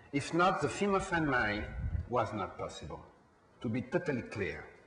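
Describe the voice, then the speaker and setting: A man in a French accent talks at a fairly quick pace with very wide pitch swings. Audible room echo and noticeable background noise fill the recording. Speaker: film producer. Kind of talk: panel discussion. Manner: halting.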